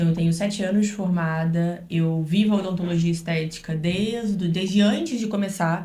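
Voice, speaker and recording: A somewhat breathy woman's voice, medium in pitch and dark, mellow in tone, with fairly even intonation and audible room echo. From Brazil, Rio then Minas Gerais (Juiz de Fora). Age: 20s. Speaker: dentist. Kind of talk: podcast interview.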